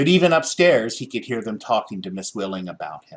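A man talks with lively intonation. His voice has a slightly husky edge.

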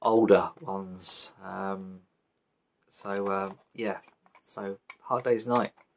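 A man speaks at a fairly low pitch with fairly even intonation and a slightly mellow tone.

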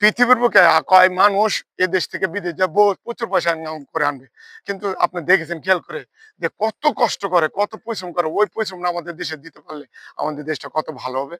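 A man with a high pitch and a bright, sharp tone shows big swings in loudness and ordinary pitch variation on a very clean recording with a silent background. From Bangladesh. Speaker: vlogger. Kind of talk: social commentary monologue. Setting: outdoors.

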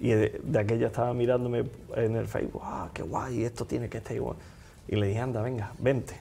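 A man speaks at a fairly quick pace in a dark, mellow tone, with ordinary pitch variation. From Andalusia, Spain. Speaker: magician. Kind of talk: casual interview chat. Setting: studio. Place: studio. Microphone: lapel.

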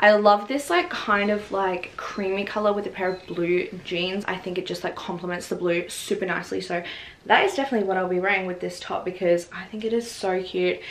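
Speaking fairly quickly with hardly any pauses, a woman with an Australian accent talks at a medium pitch. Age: 20s. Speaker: fashion vlogger. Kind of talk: casual talk to camera. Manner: upbeat, chatty. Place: home room.

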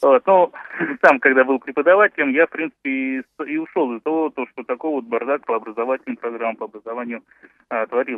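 Medium in pitch with ordinary pitch variation, a man talks at a fairly quick pace. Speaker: radio caller, doctor and lawyer. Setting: phone call. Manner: halting.

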